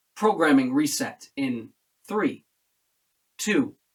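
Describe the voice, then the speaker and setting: Putting on a robotic character voice, a man speaks at a fairly high pitch and a very slow pace. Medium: actual play.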